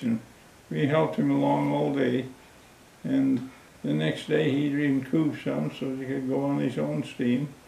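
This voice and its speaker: The speaker goes at a fairly slow pace with long, frequent pauses. Background noise is noticeable. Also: man. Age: 80s+. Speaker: war veteran. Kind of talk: interview answer.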